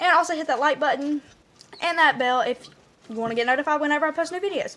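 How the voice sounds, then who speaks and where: At a very fast pace, a woman speaks in a high, bright, sharp voice with ordinary pitch variation. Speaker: vlogger. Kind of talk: storytelling vlog.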